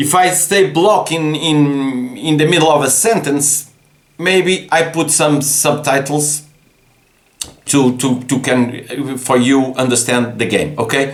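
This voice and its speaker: A man speaks at a very slow pace with a Portuguese accent. His loudness stays very even, and the room echo is audible. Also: fairly high pitch for a man, ordinary pitch variation. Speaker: board game designer. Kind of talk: casual game explanation. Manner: halting, many repetitions.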